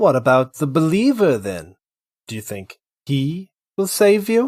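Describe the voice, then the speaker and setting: A man's put-on character voice, fairly high-pitched, with very wide pitch swings and big jumps in loudness, on a very clean recording with a silent background. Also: moderate pace. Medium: audio drama. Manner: terse, steely.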